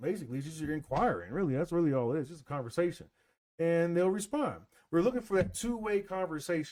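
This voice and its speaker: In a high voice with lively intonation, a man talks very fast. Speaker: business coach / AI marketing presenter. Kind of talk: live webinar presentation. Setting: live video stream with screen share. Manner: casual, conversational.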